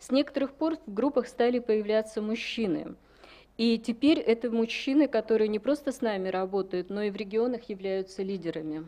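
The voice moves at a very fast pace, with a dark, mellow tone. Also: woman, fairly high pitch for a woman, ordinary pitch variation. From Russia. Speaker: women's rights activist; conference presenter. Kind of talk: conference presentation. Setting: conference hall with audience. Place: hall. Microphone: podium.

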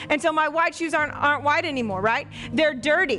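A woman speaks in a raised, projected voice over light background noise. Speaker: pastor. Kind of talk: sermon. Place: church. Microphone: headset.

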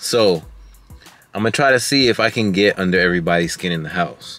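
With a dry sound and no echo, a man speaks at a moderate pace in a very deep, low pitch as faint music plays in the background. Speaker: family vlogger. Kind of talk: casual vlog chat. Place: car. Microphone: phone near.

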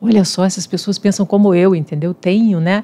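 The speaker is a woman. Her tone comes across as dark and mellow. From Espírito Santo, Brazil. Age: 50s. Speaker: civil engineer and university professor; university professor. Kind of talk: casual chat; interview answer. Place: studio. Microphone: studio mic.

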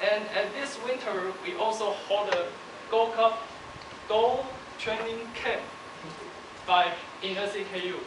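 A man's high-pitched voice at a very slow pace, ordinary pitch variation, long and frequent pauses, noticeable background noise and audible room echo. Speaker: university student. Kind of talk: speech. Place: hall.

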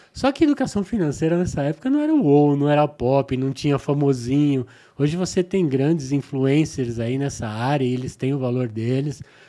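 Over a quiet background, a man with a dark, mellow tone speaks at a moderate pace with ordinary pitch variation and hardly any pauses. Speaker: podcast guest. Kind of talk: interview answer. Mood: relaxed, smiling. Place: studio. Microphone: studio mic.

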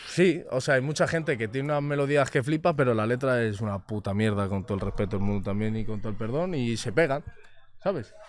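Very fast, lively-intoned speech from a man, dry with no echo, over light background noise. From Spain, Madrid area (Rivas); Spain. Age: 20s. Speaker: reggaeton singer; interviewee. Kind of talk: casual interview chat. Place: studio. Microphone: studio mic.

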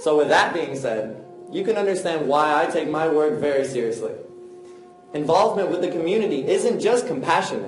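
Clear music plays in the background with audible room echo. Over it, a man talks at a fairly quick pace. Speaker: martial arts teacher. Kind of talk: public talk. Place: stage.

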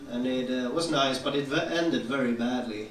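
A man in a Swedish accent talks at a fairly quick pace and medium pitch with ordinary pitch variation, amid audible room echo and light background noise. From Sweden. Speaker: stand-up comedian. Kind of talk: stand-up comedy set. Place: stage.

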